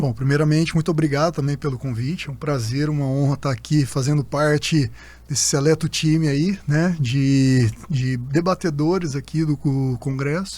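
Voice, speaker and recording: A somewhat breathy man, fairly high in pitch, with fairly even intonation. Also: moderate pace. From Minas Gerais, Brazil (Uberlândia, Triângulo Mineiro). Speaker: orthopedist and sports medicine doctor. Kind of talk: conference panel conversation.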